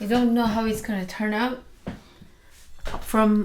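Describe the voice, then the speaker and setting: A fairly high-pitched woman with a non-native accent at a fairly slow pace, amid noticeable background noise. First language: not English. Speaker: mukbang vlogger. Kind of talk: casual chat while eating.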